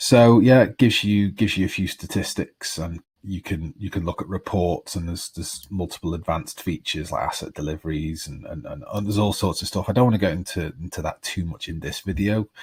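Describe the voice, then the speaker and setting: A man talks in a very deep, low pitch at a very fast pace, with hardly any pauses and ordinary pitch variation. His voice is somewhat breathy on a very clean recording with a silent background. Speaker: tutorial creator. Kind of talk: tutorial.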